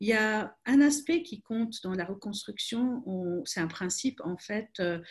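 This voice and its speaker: A woman at a fairly high pitch, somewhat breathy, with lively intonation and a very slow pace. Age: 30s. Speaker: crisis communication expert. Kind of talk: webinar talk. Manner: hesitant, many repetitions.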